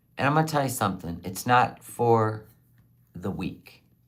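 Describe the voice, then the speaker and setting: With audible room echo, a woman speaks in a very deep, low pitch, her animated tone marked by very wide pitch swings. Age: 60s. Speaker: livestreamer selling handmade tumblers. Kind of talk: casual livestream chat.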